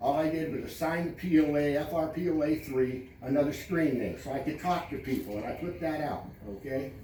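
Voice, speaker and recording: Amid noticeable background noise and audible room echo, a man with a fairly high pitch talks at a fairly quick pace with ordinary pitch variation and hardly any pauses. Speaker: homeowners association president. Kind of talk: community meeting address. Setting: public meeting with audience. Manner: loud, raised voice; blunt, brusque.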